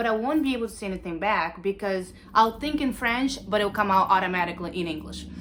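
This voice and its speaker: Noticeable background noise is present as a woman talks with a strong Cape Verdean accent. Her pitch is fairly high and her intonation lively. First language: Cape Verdean Creole. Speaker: university student. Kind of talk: talent show presentation.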